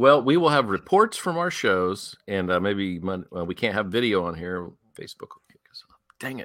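With a normal speaking voice, a man talks at a moderate pace in a fairly low pitch, with lively intonation and big swings in loudness. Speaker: podcast host. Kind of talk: casual chat.

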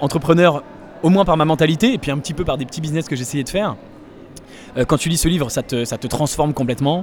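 Noticeable background noise surrounds the voice. A man talks with a fairly high pitch and ordinary pitch variation. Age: 20s. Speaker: startup investor. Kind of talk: interview. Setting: startup incubator in Paris.

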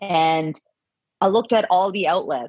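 A woman with a fairly low pitch uses an ordinary speaking voice, speaking at a moderate pace with lively intonation. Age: 40s. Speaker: podcast co-host, journalist. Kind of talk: casual chat. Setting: video call.

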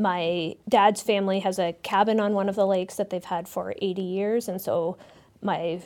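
Heard in a very clean recording with a silent background, a woman speaks with a Canadian accent at a moderate pace. Her medium-pitched voice has a monotone, flat intonation. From Canada, southeastern Ontario (Kingston). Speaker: geography professor. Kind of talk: interview.

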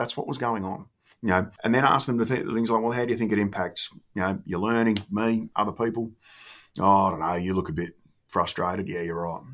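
On a very clean recording with a silent background, a man with an Australian accent talks at a fairly quick pace and ordinary pitch variation. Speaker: former school principal and education consultant. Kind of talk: interview. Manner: informal.

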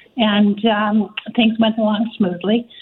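At a fairly slow pace, a woman speaks in an unremarkable speaking voice of medium pitch. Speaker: arts center executive director. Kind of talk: radio interview. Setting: phone call.

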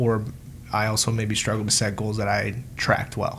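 A man at a medium pitch talks at a moderate speed, with noticeable background noise behind him. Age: 20s. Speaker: podcast co-host. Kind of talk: casual chat.

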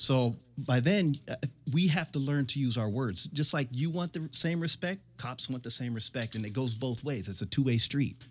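A man talks at a moderate pace with music behind him. His medium pitch varies in an ordinary way. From San Diego, California. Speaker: police officer. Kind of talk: casual chat.

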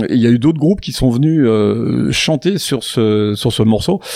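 Noticeable background noise sits behind the voice. A man at medium pitch speaks fairly slowly with lively intonation. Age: old. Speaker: radio show host. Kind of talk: casual chat. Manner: halting.

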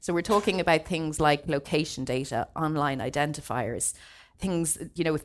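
With an Irish accent, a woman speaks at a fairly quick pace in a very deep, low voice and fairly even intonation. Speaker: data protection lawyer. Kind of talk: seminar presentation. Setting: seminar room with audience, streamed online.

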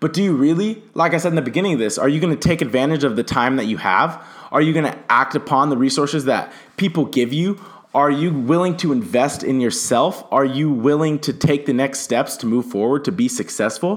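A normal speaking voice from a man with an American accent, fairly high in pitch, very even in loudness, lively in intonation and fairly quick in pace. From Southern California. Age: young. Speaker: entrepreneur podcaster. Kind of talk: motivational monologue. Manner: casual.

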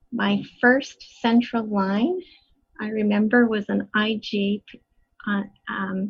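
A woman with a Canadian accent speaks in a somewhat breathy, fairly high voice with fairly even intonation. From western Canada, Edmonton. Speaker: colorectal surgeon. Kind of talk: interview.

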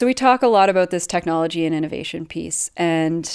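With a Canadian accent, this woman has a fairly low pitch and a plain, everyday voice. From Canada. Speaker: rural development researcher. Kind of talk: interview. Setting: video call.

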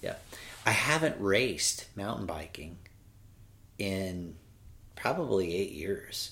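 With lively intonation and a bright, sharp tone, a man speaks at a very slow pace and a fairly low pitch, leaving long, frequent pauses amid audible room echo. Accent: Californian. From California. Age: 40s. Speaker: cyclist. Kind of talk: casual chat. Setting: at home.

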